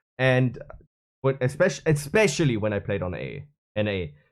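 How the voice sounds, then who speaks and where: A man's medium-pitched voice with a German accent, moderate pace and lively intonation, in a very clean recording with a silent background. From Germany (Bavaria). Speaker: gaming streamer. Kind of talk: unscripted rant. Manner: halting.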